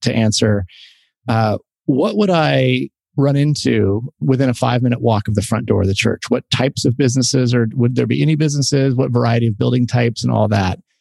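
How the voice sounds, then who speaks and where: An ordinary speaking voice at a fairly quick pace, with lively intonation, very even loudness and a dry, close sound with no echo. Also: man. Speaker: podcast host. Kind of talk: casual conversational podcast discussion.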